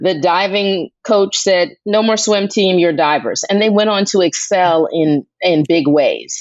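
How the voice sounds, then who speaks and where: A woman of medium pitch speaks at a fairly slow pace, with ordinary pitch variation and very even loudness. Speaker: actress and voice over artist. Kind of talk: podcast interview answer. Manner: warm, enthusiastic.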